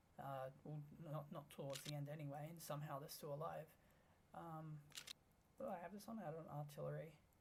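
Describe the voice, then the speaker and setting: Mumbled speech at a fairly quick pace. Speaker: gaming YouTuber. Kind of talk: gameplay commentary. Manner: mumbling; halting. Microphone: tweaked microphone, may be quiet.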